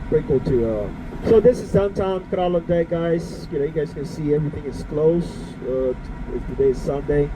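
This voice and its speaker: A man with a Curaçao accent talks at a moderate pace, his pitch fairly high with ordinary variation. There is noticeable background noise. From Bonaire. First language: Papiamento. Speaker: tour guide. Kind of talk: guided tour commentary. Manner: halting, many fillers.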